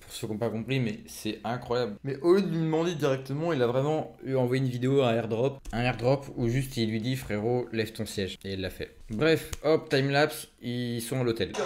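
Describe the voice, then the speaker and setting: A man speaks at medium pitch with ordinary pitch variation and an animated tone. He hardly pauses at all. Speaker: youtuber reacting to videos. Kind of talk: reaction video commentary. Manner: fast; casual, animated.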